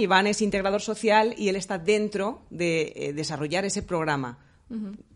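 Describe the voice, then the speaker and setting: This woman has a normal speaking voice at a medium pitch. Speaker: psychologist. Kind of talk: interview.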